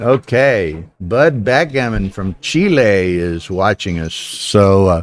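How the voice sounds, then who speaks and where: On a very clean recording with a silent background, a man with an American accent speaks very slowly in a fairly low pitch, with lively intonation and hardly any pauses. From US South. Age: 70s. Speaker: backgammon commentator. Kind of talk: live commentary. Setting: live stream at a casino tournament.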